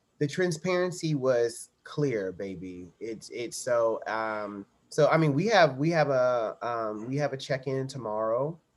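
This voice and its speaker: Intonation is lively while the delivery stays fairly slow. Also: man, medium pitch for a man. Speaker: Broadway performer and podcast guest. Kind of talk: casual chat. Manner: animated, playful.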